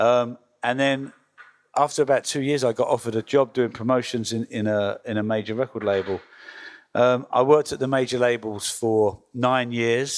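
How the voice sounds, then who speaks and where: A man with an English accent speaks at a medium pitch and with fairly even intonation. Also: moderate pace. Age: 60s. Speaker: record label founder. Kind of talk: panel talk. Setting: workshop with audience. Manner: hesitant, many fillers.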